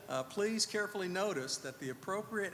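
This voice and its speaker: A man's lively intonation at a fairly quick pace, with audible room echo and noticeable background noise. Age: 60s. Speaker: preacher. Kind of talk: sermon. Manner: conversational, with fillers.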